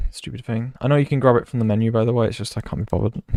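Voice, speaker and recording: With a British accent, a man speaks at a medium pitch with ordinary pitch variation. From Britain. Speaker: video game streamer. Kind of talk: live stream commentary.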